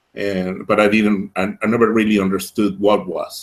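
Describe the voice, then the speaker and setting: A man with a Spanish accent is heard on a very clean recording, silent background. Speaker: project owner defending a funding proposal. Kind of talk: interview. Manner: halting, many repetitions and fillers.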